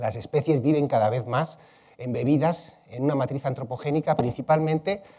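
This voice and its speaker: Speaking at a moderate pace, a man has a fairly high pitch with ordinary pitch variation. His tone is dark, mellow and somewhat breathy. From Spain, Madrid. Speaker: ecology researcher. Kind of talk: plenary conference talk. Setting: conference hall with audience. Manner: many fillers (eh, este).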